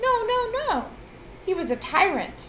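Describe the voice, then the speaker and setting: Over clear background noise, a woman puts on a squeaky character voice at an extremely high pitch, moving at a moderate pace. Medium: read story. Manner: indignant, corrective.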